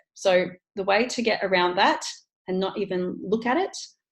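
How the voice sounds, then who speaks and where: In an Australian accent, a woman talks at a medium pitch with ordinary pitch variation. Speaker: online business coach. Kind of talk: tutorial. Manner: fast.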